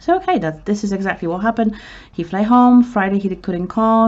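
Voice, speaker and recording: In a Polish accent, the speaker moves at a moderate pace with ordinary pitch variation. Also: woman. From Poland. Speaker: vlogger. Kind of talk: emotional personal story. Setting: outdoors in city center. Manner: halting.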